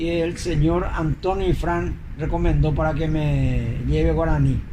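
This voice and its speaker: Through clear room echo and background noise, the man's speech moves fairly slowly. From Paraguay, Asunción (La Chacarita). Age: 70s. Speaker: retired footballer. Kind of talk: interview testimony.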